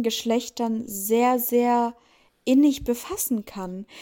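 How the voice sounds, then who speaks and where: A woman's high voice, dark and mellow in tone, at a very slow pace. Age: 20s. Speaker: reality TV contestant. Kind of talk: interview.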